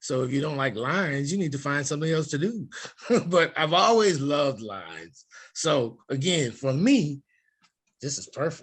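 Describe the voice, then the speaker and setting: Against a quiet background, a man with a somewhat breathy voice speaks at a moderate pace with lively intonation. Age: 60s. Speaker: stage actor. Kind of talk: casual interview chat. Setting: home interview.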